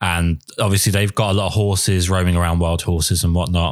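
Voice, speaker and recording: A man talks with a southern English accent. His pitch is very deep and low. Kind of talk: casual interview.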